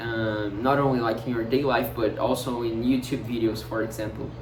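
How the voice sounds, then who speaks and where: A man with a non-native accent at a moderate pace and fairly even intonation, with audible room echo and noticeable background noise. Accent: Portuguese-speaker accent in English. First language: Portuguese. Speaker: vlogger. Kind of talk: casual monologue. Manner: halting, many fillers and repetitions.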